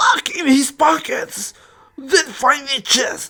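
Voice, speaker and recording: A raspy, high-pitched put-on character voice moves at a very slow pace. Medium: audio drama. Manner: menacing, commanding.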